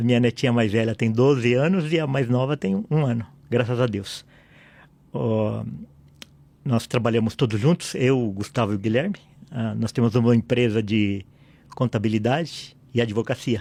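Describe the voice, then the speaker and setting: A man's voice carries a dark, mellow tone with ordinary pitch variation. He leaves long, frequent pauses in a very clean recording with a silent background. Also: medium pitch for a man, moderate pace. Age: 60s. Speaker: pastor and lawyer. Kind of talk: podcast interview.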